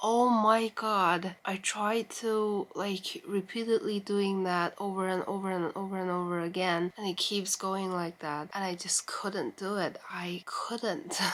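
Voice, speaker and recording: A woman's medium-pitched voice at a fairly slow pace, with fairly even intonation and hardly any pauses. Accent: non-native. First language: not English. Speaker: vlogger. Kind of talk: casual chat. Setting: bedroom, late at night. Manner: rambling, informal.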